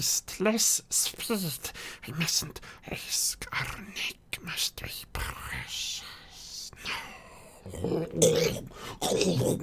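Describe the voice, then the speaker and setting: A put-on character voice, raspy and creaky, moves at a very slow pace over light background noise. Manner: hissing, cautious.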